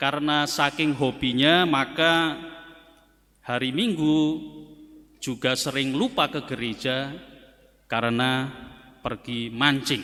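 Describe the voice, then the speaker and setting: A man with a bright, sharp tone and fairly high pitch speaks at a very slow pace. He takes long, frequent pauses and uses ordinary pitch variation. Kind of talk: sermon.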